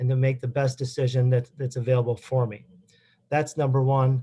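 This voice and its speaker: This man's voice sits at a medium pitch, with a dark, mellow tone and a somewhat breathy quality. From Wisconsin. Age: 40s. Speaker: judicial candidate, lawyer. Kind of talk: closing statement at candidate forum. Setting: public forum. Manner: halting.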